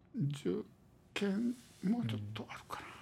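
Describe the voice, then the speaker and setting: A man with a Kansai accent talks in a dark, mellow tone. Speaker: local historian. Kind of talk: interview. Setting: archive room.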